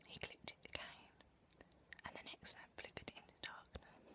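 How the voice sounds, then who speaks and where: The woman speaks in a whisper at a moderate pace. There is noticeable background noise. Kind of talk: whispered audiobook reading. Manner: whispered, soft-spoken.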